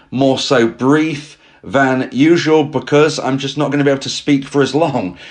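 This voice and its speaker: A man talks at a moderate pace in a fairly high voice. He sounds strained, and his intonation stays fairly even. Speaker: breakup advice podcaster. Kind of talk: solo podcast advice talk. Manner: strained, struggling to speak.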